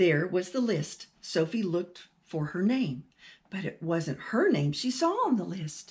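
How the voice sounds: A natural reading voice full of lively intonation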